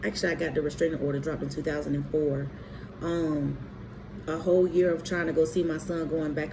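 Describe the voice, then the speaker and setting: A woman at a very fast pace, with audible room echo. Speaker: abuse survivor telling her story. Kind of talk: personal testimony monologue. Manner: halting, many fillers; emphatic, preaching.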